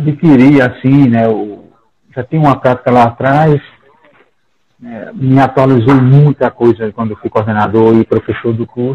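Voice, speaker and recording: A man with a plain, everyday voice speaks at a fairly slow pace, medium in pitch with fairly even intonation. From Brazil, Paraíba (Campina Grande). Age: 50s. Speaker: psychologist and professor. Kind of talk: casual discussion.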